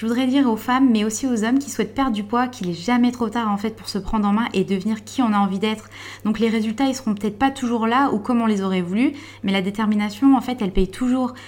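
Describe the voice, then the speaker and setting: Somewhat breathy, a woman speaks at a very fast pace and a fairly high pitch. Her intonation is fairly even. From France, Vosges. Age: 20s. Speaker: bank adviser and volunteer firefighter, weight-loss client. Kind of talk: testimony. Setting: dietitian's office.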